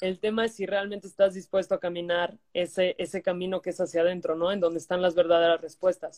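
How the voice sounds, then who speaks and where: A woman speaks very fast in a flat monotone at a medium pitch, with hardly any pauses, in a dry, close sound with no echo. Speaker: life coach. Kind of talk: interview. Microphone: bad connection.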